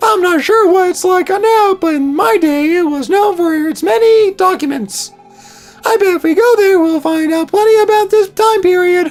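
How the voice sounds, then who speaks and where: Putting on a squeaky character voice, a man speaks at a moderate pace at an extremely high pitch, with faint music in the background. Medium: game stream.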